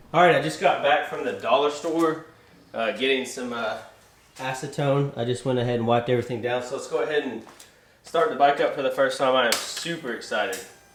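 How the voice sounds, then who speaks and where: A man with a fairly high pitch speaks at a fairly quick pace. Audible room echo and noticeable background noise surround him. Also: ordinary pitch variation. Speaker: motorcycle YouTuber. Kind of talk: DIY tutorial; casual vlog. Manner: hesitant with fillers; loud.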